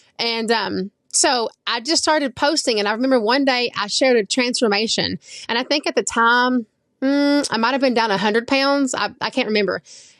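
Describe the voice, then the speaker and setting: A high-pitched woman's voice at a fairly quick pace, with ordinary pitch variation and a dry, close sound free of echo. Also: quiet background. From Oklahoma. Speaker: social media influencer. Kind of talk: interview. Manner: casual, conversational.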